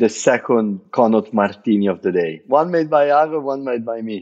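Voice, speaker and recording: With an Italian accent, a man speaks at a moderate pace using lively intonation. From Italy. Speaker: bartender. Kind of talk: podcast interview.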